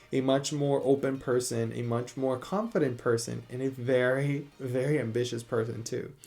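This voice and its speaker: A man with a Spanish accent, medium in pitch, with a dark, mellow tone. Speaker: beauty YouTuber. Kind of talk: casual vlog monologue. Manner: animated.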